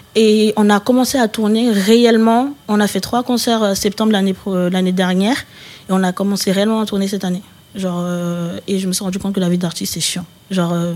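A plain, everyday voice moves at a fairly quick pace with fairly even intonation. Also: woman, medium pitch for a woman. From Paris region (Val-de-Marne). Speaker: rapper. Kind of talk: casual interview chat.

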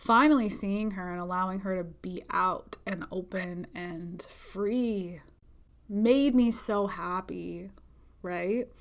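A woman speaks at a very slow pace and medium pitch, with ordinary pitch variation and big swings in loudness. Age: 20s. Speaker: spiritual healer and podcast host. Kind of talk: solo monologue podcast. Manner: frequent laughter.

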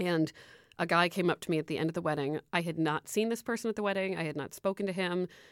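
A woman talks very fast at a fairly low pitch with an American accent and ordinary pitch variation. The recording is very clean and dry, close with no echo and a silent background. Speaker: advice columnist. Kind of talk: interview.

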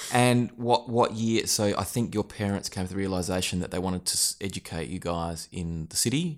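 A man with an Australian accent and a fairly low pitch talks at a fairly quick pace with hardly any pauses. His pitch variation is ordinary, and the recording is very clean with a silent background. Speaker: accounting podcast host. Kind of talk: casual interview. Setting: quiet office room. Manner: warm, encouraging.

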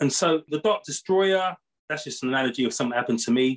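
A man with a British accent talks at a very fast pace, with ordinary pitch variation. The sound is dry and close, with no echo. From Britain. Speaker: professor and author. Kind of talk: interview.

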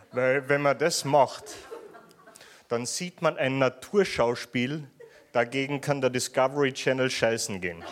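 A man at a medium pitch with a Viennese accent, fairly slow pace, ordinary pitch variation and long, frequent pauses. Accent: Viennese Austrian German. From Austria, Vienna. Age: young. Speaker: stand-up comedian. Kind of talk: stand-up. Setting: stage with audience.

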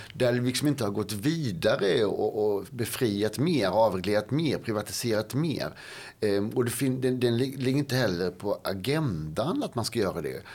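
Here a man talks at a moderate pace with a medium pitch. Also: lively intonation. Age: 50s. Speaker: policy expert and author. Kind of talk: interview conversation. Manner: halting, with many fillers and repetitions.

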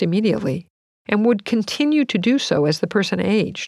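A woman speaks in a normal speaking voice at medium pitch and a moderate pace, with lively intonation, on a very clean recording with a silent background. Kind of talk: audiobook reading. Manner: measured, even, formal narration; clear explanatory tone.

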